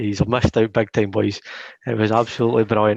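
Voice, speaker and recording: With a strong Scottish accent and a fairly low pitch, a man speaks in a dry, close sound with no echo against a quiet background. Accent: thick Scottish. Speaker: football podcast co-host. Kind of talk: casual chat. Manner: animated.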